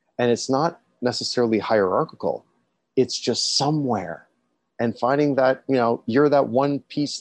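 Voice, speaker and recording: Over a quiet background with a dry, close sound and no echo, a man uses a normal speaking voice at a moderate pace with ordinary pitch variation. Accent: Canadian. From Toronto, Canada. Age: 40s. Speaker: cancer survivor and peer supporter. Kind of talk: interview.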